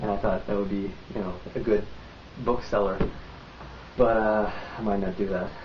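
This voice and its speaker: A man's fairly low, monotone, flat voice with long, frequent pauses, audible room echo and noticeable background noise. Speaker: vlogger. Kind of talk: casual vlog monologue. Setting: home, recording on tripod. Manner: fast; halting, many fillers.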